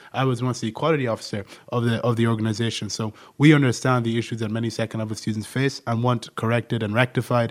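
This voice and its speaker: The speech comes at a very fast pace in a monotone, flat intonation. The recording is very clean, with a silent background. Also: man, medium pitch for a man. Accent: Irish. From Ireland. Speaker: podcast co-host, university student. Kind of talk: casual political discussion.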